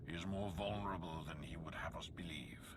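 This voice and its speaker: A man puts on a character voice pitched very deep and low. Loud background noise runs behind him. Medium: video game. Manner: grave, solemn.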